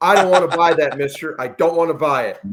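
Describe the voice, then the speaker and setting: This is a man speaking. His pitch is high. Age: 50s. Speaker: podcast host. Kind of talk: casual interview chat.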